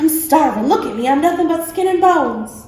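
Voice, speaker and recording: A woman does a put-on character voice at an extremely high pitch. She talks fairly quickly, with a slight echo. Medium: read story. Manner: smooth, conspiratorial.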